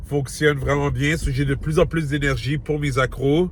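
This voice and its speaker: This man speaks at a very slow pace in a Quebec accent. His fairly high voice stays monotone and flat. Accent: Québécois French. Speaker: fitness vlogger. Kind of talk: vlog. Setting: in a car, then a gym. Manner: casual, talkative.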